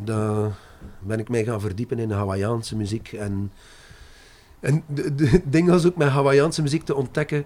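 A man with a French accent, fairly slow pace and lively intonation. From Brussels, Belgium. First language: French (speaking Dutch). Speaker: singer. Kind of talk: interview.

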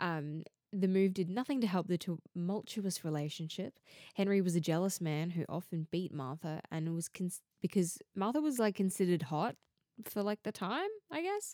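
The voice has a dark, mellow tone and an Australian accent, with ordinary pitch variation. It moves at a moderate pace in a dry, close sound with no echo. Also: woman, medium pitch for a woman. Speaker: true crime podcaster. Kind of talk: scripted-style true crime narration.

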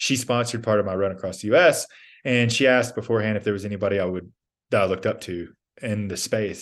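A man with an American accent, fairly low pitch, ordinary pitch variation and a very fast pace, over a quiet background. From US South, Georgia. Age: 30s. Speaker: endurance athlete. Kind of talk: casual chat.

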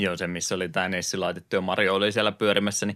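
In a very clean recording with a silent background, a man with a fairly low pitch speaks very fast in a bright, sharp tone, his intonation flat and monotone. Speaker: podcast co-host, retro gaming. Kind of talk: casual chat. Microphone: new mixer equipment.

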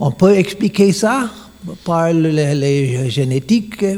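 A man with an English accent, a dark, mellow, somewhat breathy tone, lively intonation, and a very slow pace. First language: English (speaking French). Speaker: monk giving a lecture. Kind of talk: lecture. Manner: halting.

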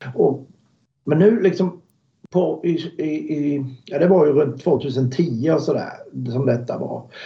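Somewhat breathy and fairly high, a man's voice moves at a very slow pace with long, frequent pauses and ordinary pitch variation. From Sweden, Småland (Alvesta). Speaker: car builder, motorsport company owner. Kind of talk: interview.

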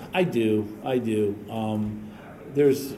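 This man has a medium pitch and an American accent. Room echo is audible, and there is noticeable background noise. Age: 50s. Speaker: boxing historian. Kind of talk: interview. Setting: boxing gym. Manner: halting, many fillers.

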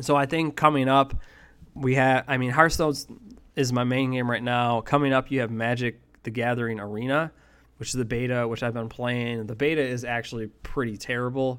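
An unremarkable speaking voice from a man with an American accent, medium in pitch with fairly even intonation. He talks at a fairly quick pace on a very clean recording with a silent background. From western New York (Buffalo area). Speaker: esports podcast host. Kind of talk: casual monologue.

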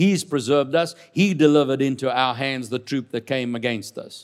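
This very clean recording has a silent background. A man with a fairly high pitch talks in an animated tone at a moderate pace. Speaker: preacher. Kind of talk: sermon. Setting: church. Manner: emphatic call-and-response.

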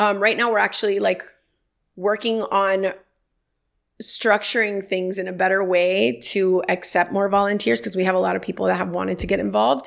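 Through a very clean recording with a silent background, a woman with an ordinary speaking voice talks at a medium pitch and moderate pace with ordinary pitch variation. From Miami, Florida. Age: 30s. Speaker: lawyer and nonprofit founder. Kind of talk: casual interview chat.

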